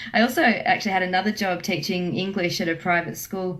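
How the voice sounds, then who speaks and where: Speaking with an Australian accent, a woman uses a medium pitch and fairly even intonation at a fairly quick pace. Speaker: travel agent. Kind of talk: radio interview.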